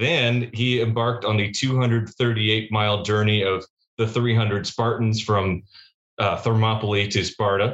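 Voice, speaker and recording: A man speaks in an ordinary speaking voice, fairly low-pitched, at a fairly slow pace with very even loudness. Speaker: podcast host. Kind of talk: casual chat. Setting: video call. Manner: excitable.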